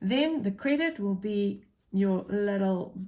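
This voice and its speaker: A woman with an Afrikaans accent speaks at a medium pitch, somewhat breathy, with a dark, mellow tone and lively intonation. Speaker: accounting teacher. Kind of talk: tutorial. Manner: casual.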